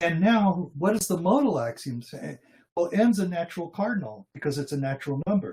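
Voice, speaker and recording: This man's voice is high and swings very widely in pitch. He keeps a moderate pace. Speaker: logician and philosophy researcher. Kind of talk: academic lecture. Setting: online video presentation.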